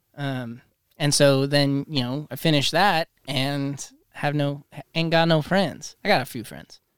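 On a very clean recording with a silent background, a man with an unremarkable speaking voice talks at a fairly slow pace and fairly high pitch. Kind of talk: casual chat. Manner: excitable.

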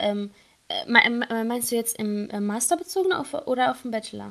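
The speaker goes at a moderate pace with a slight non-native accent. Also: woman. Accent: barely noticeable foreign. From Syria. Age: 20s. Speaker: engineering student. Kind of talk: interview. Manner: hesitant, many fillers.

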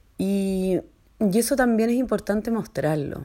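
Ordinary pitch variation from a woman, on a very clean recording with a silent background. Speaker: entrepreneur and mother. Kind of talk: personal voice message. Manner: hesitant, many fillers.

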